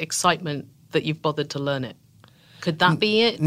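A woman's bright, sharp voice in a British accent, with lively intonation. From Tunbridge Wells, south of London, England. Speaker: podcast host.

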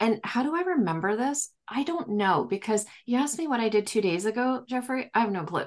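A woman speaks with an unremarkable speaking voice at a fairly high pitch. She talks fairly quickly with lively intonation and hardly any pauses. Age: 40s. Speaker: psychic medium. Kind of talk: casual interview conversation.

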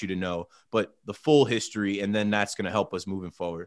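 A man's fairly low voice in an American accent, very fast, with fairly even intonation and a quiet background. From United States. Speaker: podcast host, guest on sports show. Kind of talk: casual chat.

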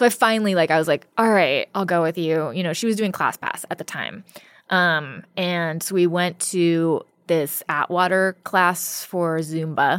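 A woman with an American accent speaks at a fairly slow pace in a fairly low pitch, with ordinary pitch variation. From California. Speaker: comedian. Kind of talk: casual chat.

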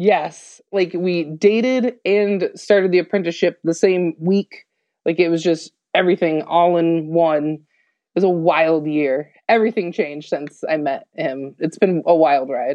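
Here is a woman with an unremarkable speaking voice and fairly low pitch. She speaks at a fairly slow pace with ordinary pitch variation. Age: 30s. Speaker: tattoo artist. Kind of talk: casual interview chat.

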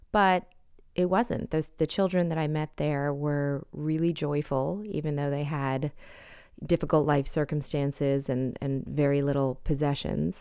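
Speaking at a fairly slow pace, a woman has a very deep, low pitch and a dark, mellow tone with ordinary pitch variation. The recording is very clean, with a silent background. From Canada. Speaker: novelist. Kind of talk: interview.

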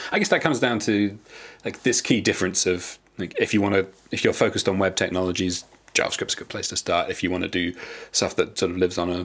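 Fairly low and fairly even in intonation, a man talks at a very fast pace. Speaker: podcast co-host. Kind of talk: casual interview chat.

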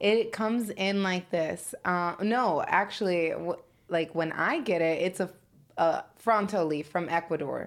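Heard on a very clean recording with a silent background, a woman with a plain, everyday voice speaks in an American accent at a fairly slow pace and medium pitch, her loudness very even and her pitch variation ordinary. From Chicago. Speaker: cannabis business founder. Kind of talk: casual chat.

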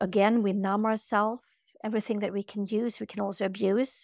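A woman speaks with a Swedish accent and fairly even intonation. The recording is very clean and silent behind her, with a dry, close sound and no echo. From Sweden. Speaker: yoga teacher and spiritual healer. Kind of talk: interview.

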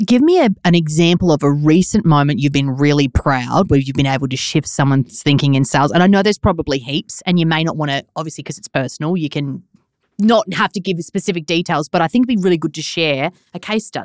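A woman speaks at a very fast pace in a very deep, low pitch. Her pitch varies in an ordinary way, and the sound is dry and close with no echo. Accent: Australian. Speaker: podcast host.

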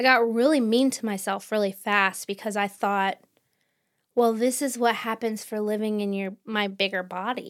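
This woman has an ordinary speaking voice, fairly high in pitch, with fairly even intonation at a moderate pace. The recording is very clean, with a silent background. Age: 40s. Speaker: book podcast co-host. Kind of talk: casual chat.

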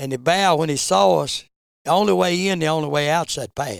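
With an Appalachian accent, a man speaks at a moderate pace and fairly high pitch in a very clean recording with a silent background. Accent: Appalachian Southern US. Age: 70s. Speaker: veteran bear hunter. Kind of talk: interview storytelling.

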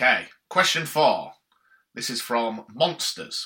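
Speaking with a Yorkshire accent, a man uses a bright, sharp tone and very wide pitch swings. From Yorkshire, northern England. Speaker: podcast co-host. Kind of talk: casual chat.

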